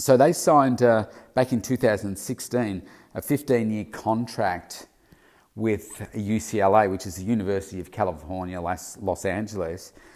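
A man with an Australian accent, fairly low-pitched with ordinary pitch variation, at a moderate pace with big swings in loudness. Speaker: weight loss coach and daily podcaster. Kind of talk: solo daily vlog commentary. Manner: casual, filler-heavy (uh, um).

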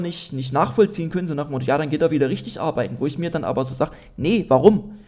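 Talking at a very fast pace, a man with a fairly high pitch and a dark, mellow tone sounds somewhat breathy, his intonation lively. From Dresden, Saxony. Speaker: comedian and podcast host. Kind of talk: solo casual monologue. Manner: casual, many fillers.

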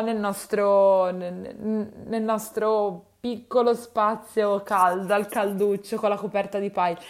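A woman's medium-pitched voice at a very slow pace, fairly even in intonation, on a very clean recording with a silent background. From Tuscany, Livorno. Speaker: nutritionist podcast host. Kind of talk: solo advice podcast. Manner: hesitant, many fillers.

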